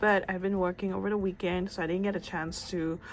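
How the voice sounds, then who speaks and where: Words come at a fairly quick pace. They are spoken with a non-native accent. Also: woman. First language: not English. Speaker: book and manga YouTuber. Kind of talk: casual vlog chat. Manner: casual, slightly halting.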